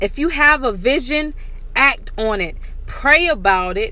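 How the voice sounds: A woman speaks at a high pitch. Her pace is fairly slow and her intonation lively.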